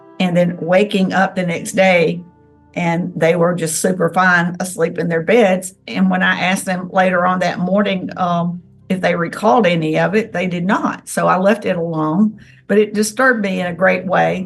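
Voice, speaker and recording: A woman with a plain, everyday voice, fairly low pitch, fairly even intonation and a moderate pace. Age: 60s. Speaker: self-described alien contactee. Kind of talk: interview testimony.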